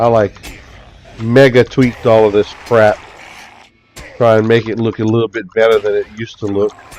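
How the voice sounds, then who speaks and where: Noticeable background noise runs under a man's medium-pitched voice. He speaks in a monotone, flat way, with long, frequent pauses. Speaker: video game streamer. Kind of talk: live gameplay stream commentary. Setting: live stream while playing an online game. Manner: gets loud at times; casual and chatty.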